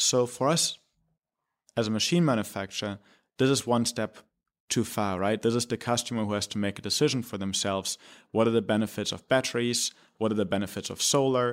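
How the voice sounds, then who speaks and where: In a German accent, a man at medium pitch with ordinary pitch variation talks at a fairly quick pace on a very clean recording with a silent background. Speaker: company president. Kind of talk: interview. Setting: studio.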